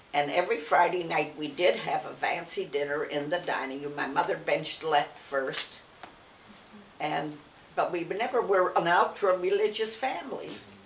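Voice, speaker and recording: In an American accent, a woman talks at a moderate pace, with audible room echo and noticeable background noise. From US Midwest, Detroit. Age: 90s. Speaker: interviewee, family elder. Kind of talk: oral history interview.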